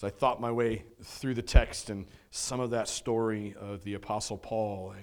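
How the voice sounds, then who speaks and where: This is a man with an unremarkable speaking voice, fairly low in pitch and fairly even in intonation. The recording is very clean, with a silent background. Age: 40s. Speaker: pastor. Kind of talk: Sunday sermon, vivid storytelling of Paul's final moments. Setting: church. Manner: warm, conversational preaching with filler words and rhetorical 'right?'.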